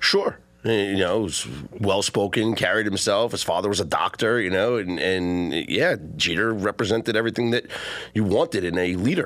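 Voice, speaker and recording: A man speaks in a New York accent at a fairly low pitch with ordinary pitch variation. Noticeable background noise sits behind him. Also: moderate pace. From Nebraska. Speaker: sports analyst. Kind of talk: sports talk radio.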